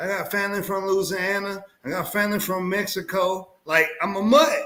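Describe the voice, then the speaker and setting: Speaking in a Texas accent, a man uses a raised, projected, high-pitched voice with an animated tone at a moderate pace. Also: ordinary pitch variation. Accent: Texas twang. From Southeast Texas (Houston). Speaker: navy veteran, aquarium hobby show host. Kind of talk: casual chat.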